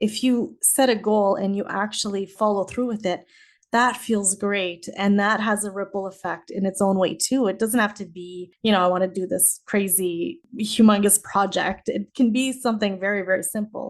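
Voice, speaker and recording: Speaking with a Canadian accent, a woman has a plain, everyday voice at medium pitch and fairly even intonation. She keeps a moderate pace with hardly any pauses against a quiet background. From Canada, Saskatchewan. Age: 40s. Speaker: teacher and author. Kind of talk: podcast interview.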